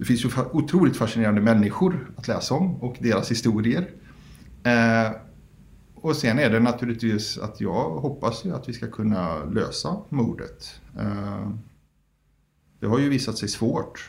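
Somewhat breathy and at medium pitch, a man speaks at a fairly slow pace with lively intonation, and the room echo is audible. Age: 30s. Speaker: founder of a public document archive group. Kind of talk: interview.

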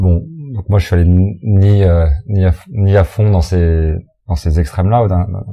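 This man's voice is very deep and low, and somewhat breathy. He talks at a fairly slow pace. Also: ordinary pitch variation. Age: 40s. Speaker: restaurant owner and farmer. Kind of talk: interview. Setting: restaurant. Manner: halting.

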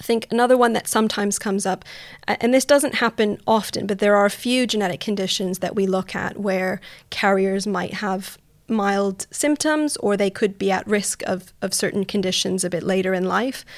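On a very clean recording with a silent background, a woman speaks in an unremarkable speaking voice with a Canadian accent. Her pitch is medium, with ordinary variation, and her pace is moderate. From Canada. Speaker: genetic counselor. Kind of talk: casual interview.

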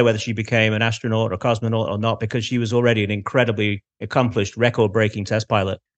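A man with a Manchester accent and medium pitch talks at a very fast pace. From Manchester, England. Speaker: space historian. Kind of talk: casual interview chat.

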